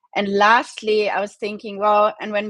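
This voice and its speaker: A woman with a German accent at a fairly quick pace, in a dry, close sound with no echo. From Germany. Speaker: e-commerce founder. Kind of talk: interview. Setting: live video stream.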